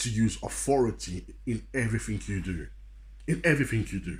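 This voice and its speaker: A man at a moderate pace, with audible room echo. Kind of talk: motivational sermon. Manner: animated.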